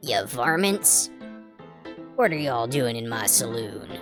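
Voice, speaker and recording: A put-on character voice, low in pitch and fairly slow, with clear music in the background. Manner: playful, in character.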